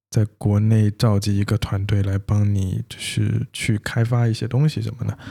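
A man's fairly low, dark and mellow voice, somewhat breathy, flat and monotone, at a moderate pace with hardly any pauses, in a dry, close recording with no echo. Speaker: podcast co-host, developer. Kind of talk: casual chat.

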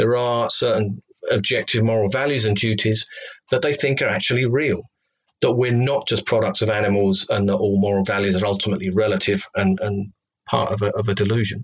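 The voice carries a slight Cockney accent and a somewhat breathy quality. It moves at a fairly quick pace with ordinary pitch variation and very even loudness. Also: man, fairly low pitch for a man. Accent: English, slight Cockney twang. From London, England. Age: 40s. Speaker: former atheist turned reverend, ex-policeman. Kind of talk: interview testimony. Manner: halting, with many fillers and repetitions.

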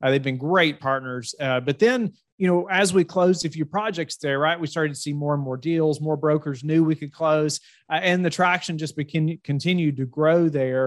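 With a Southern US accent, a man speaks at a moderate pace with ordinary pitch variation. The recording is very clean with a silent background and a dry, close sound with no echo. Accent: warm Southern US. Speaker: real estate fund manager. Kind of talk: interview. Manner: halting, many fillers and repeats.

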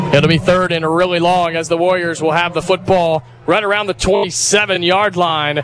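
Over music in the background, a man with an American accent and a high pitch speaks at a moderate pace with fairly even intonation and hardly any pauses. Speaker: play-by-play radio announcer. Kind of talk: live play-by-play commentary of a high school football game. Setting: press box broadcast booth at stadium. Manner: loose, joking banter during breaks.

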